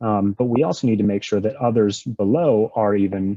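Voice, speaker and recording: Speaking at a fairly quick pace, a man uses a fairly low pitch. His pitch variation is ordinary. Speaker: conference presenter, fintech executive. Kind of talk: conference presentation. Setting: virtual conference. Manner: fast; hesitant, many fillers.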